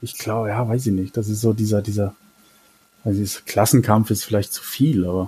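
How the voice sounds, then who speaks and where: A man's fairly low, somewhat breathy voice with a dark, mellow tone, a fairly quick pace and fairly even intonation. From Germany, Mannheim. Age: 30s. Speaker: Twitter user. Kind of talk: casual interview.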